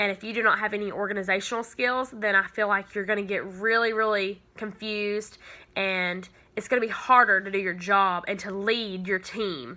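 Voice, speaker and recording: An ordinary speaking voice with an American accent keeps a fairly even intonation at a moderate pace on a very clean recording with a silent background. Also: woman, medium pitch for a woman. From US South, Georgia. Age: 20s. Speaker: university student. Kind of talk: class video introduction.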